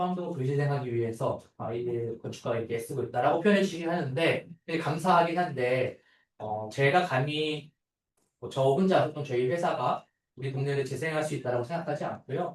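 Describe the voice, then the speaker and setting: A man with a fairly high pitch talks at a fairly quick pace in a somewhat breathy voice. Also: ordinary pitch variation. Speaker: architect. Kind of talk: seminar talk. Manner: fast; filler-heavy.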